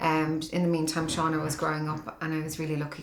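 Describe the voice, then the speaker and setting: A woman with a Dublin accent and a very deep, low voice talks at a very fast pace over noticeable background noise. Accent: Dublin Irish. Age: 40s. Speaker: mother interviewed in documentary. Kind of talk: personal testimony interview.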